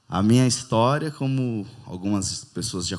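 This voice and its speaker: This man has an ordinary speaking voice, a medium pitch and ordinary pitch variation. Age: 40s. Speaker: former addict, social worker. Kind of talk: testimony.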